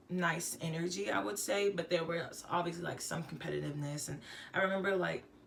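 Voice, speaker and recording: There is audible room echo as a woman speaks. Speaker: singer-songwriter. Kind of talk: casual vlog monologue.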